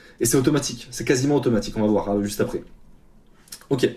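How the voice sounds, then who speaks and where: At a very fast pace, this voice has a dark, mellow tone, a somewhat breathy quality, and ordinary pitch variation. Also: man. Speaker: freelance developer and coach. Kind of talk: tutorial. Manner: casual, hesitant with fillers.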